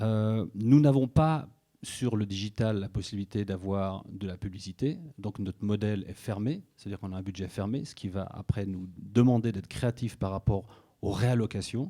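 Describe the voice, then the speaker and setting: A man with a slight Swiss French accent, a dark, mellow tone, ordinary pitch variation and big swings in loudness, in a very clean recording with a silent background. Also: fairly low pitch for a man, moderate pace. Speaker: media executive at a broadcaster. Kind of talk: conference talk.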